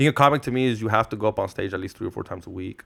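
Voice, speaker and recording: A man talks at a very fast pace in an animated tone with lively intonation. The recording is very clean, with a silent background. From US West Coast (Orange County, California), Mexican-born. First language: Spanish. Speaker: podcaster and comedian. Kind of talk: casual chat. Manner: animated, code-switching with Spanish.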